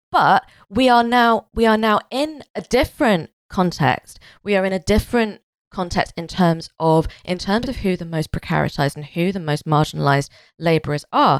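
A woman at medium pitch with very wide pitch swings and a moderate pace, in a very clean, silent recording with a dry, close sound and no echo. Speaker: podcast co-host. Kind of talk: casual chat.

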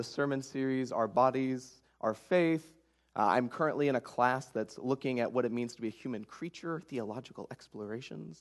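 In an unremarkable speaking voice, a man with an American accent speaks at a moderate pace. His pitch is medium, with ordinary pitch variation. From rural Oklahoma (Ada). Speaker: guest preacher. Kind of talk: sermon.

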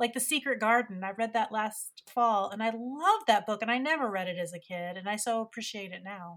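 In an unremarkable speaking voice with an American accent, a woman talks at a fairly quick pace and fairly high pitch, with hardly any pauses and big swings in loudness. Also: ordinary pitch variation. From West Virginia. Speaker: podcast host. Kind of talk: casual chat. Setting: remote recording.

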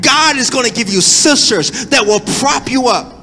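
Amid noticeable background noise, a man with an extremely high pitch speaks in a raised, projected voice with ordinary pitch variation. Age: 40s. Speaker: pastor. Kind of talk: sermon. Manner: animated.

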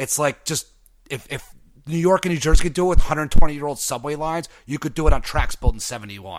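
A man talks at a very fast pace with lively intonation and a fairly high pitch. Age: 30s. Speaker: podcast co-host. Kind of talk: casual chat. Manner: animated.

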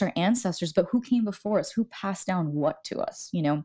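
Over a silent background in a very clean recording, a woman speaks at a medium pitch with a dark, mellow tone and lively intonation. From Miami, Florida (Cuban American). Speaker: writer and theology student. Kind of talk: casual interview.

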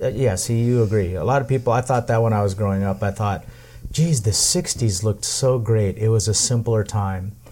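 Fairly low pitch for a man and a moderate pace, in an unremarkable speaking voice. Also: ordinary pitch variation. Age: 50s. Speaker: podcast host. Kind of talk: casual chat. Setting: home tiki bar.

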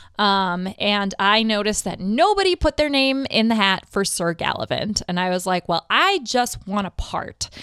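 Loud and with hardly any pauses, a woman at medium pitch speaks at a moderate pace with lively intonation and a bright, sharp tone, recorded very cleanly with a silent background and a dry, close sound with no echo. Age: 30s. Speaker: actor. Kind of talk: casual interview chat.

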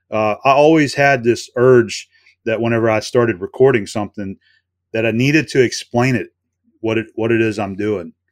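In a very clean recording with a silent background and a dry, close sound with no echo, a man speaks with a normal speaking voice. His pitch is medium, his pace moderate, and his intonation fairly even. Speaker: YouTube machinist. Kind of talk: casual interview chat.

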